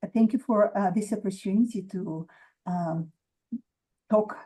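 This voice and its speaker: A woman's somewhat breathy, medium-pitched voice with a strong Russian accent, fairly slow pace, and fairly even intonation. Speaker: author. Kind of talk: interview. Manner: hesitant, many fillers.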